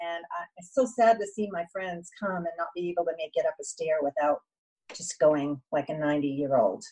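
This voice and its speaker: In a dry, close recording with no echo, a woman with a plain, everyday voice speaks at a fairly low pitch and a moderate pace, with ordinary pitch variation and big swings in loudness. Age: 60s. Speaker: wellness advocate. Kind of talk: interview.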